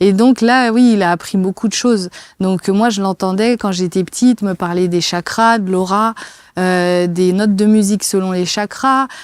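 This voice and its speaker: A woman speaks at a medium pitch and a fairly slow pace, with fairly even intonation. The sound is dry and close, without echo. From France near the Swiss border. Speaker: kinesiologist and personal coach. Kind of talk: interview testimony. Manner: hesitant, many fillers.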